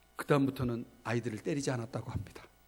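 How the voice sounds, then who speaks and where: This man's tone is animated, with ordinary pitch variation. He moves at a fairly quick pace. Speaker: pastor. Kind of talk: sermon. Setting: church. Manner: loud; animated storytelling.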